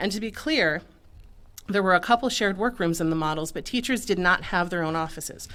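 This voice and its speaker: Bright and sharp in tone, a woman talks at a fairly quick pace. Her medium pitch moves with lively intonation. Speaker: high school English teacher. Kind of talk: prepared public comment at board meeting. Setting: public board meeting. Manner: slight nervous vibrato.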